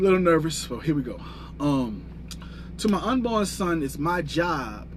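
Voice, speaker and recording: A man talks at a moderate pace. Room echo can be heard around his voice. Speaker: fitness and life coach. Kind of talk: livestream monologue. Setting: livestream. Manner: stuttering.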